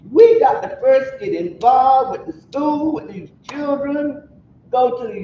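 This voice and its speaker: Noticeable background noise sits under talking at a fairly slow pace. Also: woman. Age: 80s+. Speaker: community member speaking at a forum. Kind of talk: community meeting discussion.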